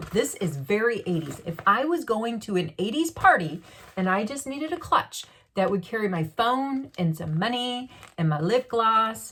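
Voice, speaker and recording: In an animated tone with very wide pitch swings, a woman with a fairly high pitch speaks at a moderate pace. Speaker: beauty vlogger. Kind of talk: unboxing vlog.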